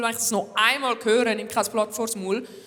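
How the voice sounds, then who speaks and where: Noticeable background noise accompanies a woman with a fairly high pitch. She speaks at a moderate pace with monotone, flat intonation. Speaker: comedian. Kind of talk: stand-up monologue hosting an awards show. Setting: live stage with audience.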